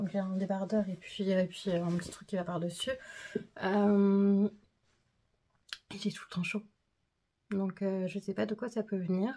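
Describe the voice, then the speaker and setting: A woman speaks at a fairly slow pace with a medium pitch and a somewhat breathy, dark, mellow tone. Her intonation stays monotone and flat. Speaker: vlogger. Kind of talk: vlog. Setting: at home. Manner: hesitant, many filler sounds.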